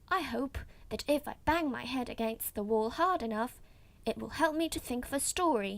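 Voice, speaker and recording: A woman's put-on character voice, high in pitch. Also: moderate pace. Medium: read story.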